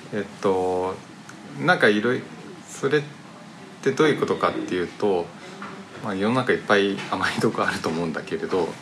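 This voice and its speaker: Amid noticeable background noise, a man with a fairly low voice talks at a fairly quick pace with lively intonation and long, frequent pauses. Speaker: podcast host. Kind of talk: casual chat. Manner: poor articulation.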